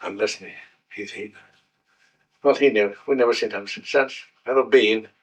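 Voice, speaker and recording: A man with a Scottish Highland accent speaks at a moderate pace, taking long, frequent pauses as his loudness swings widely. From Scotland, Highlands (Golspie). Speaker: war veteran. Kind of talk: interview. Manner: halting.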